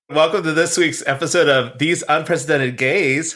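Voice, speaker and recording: Putting on a character voice, a man mumbles at a moderate pace with a fairly high pitch and fairly even intonation. Light background noise can be heard. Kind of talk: podcast intro. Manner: mumbled, indistinct.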